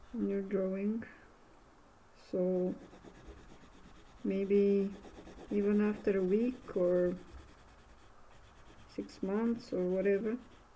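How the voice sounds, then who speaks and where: With audible room echo, a woman of medium pitch speaks very slowly in a dark, mellow tone, with long, frequent pauses and monotone, flat intonation. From Bulgaria. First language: Bulgarian. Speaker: art instructor. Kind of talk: tutorial. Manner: halting.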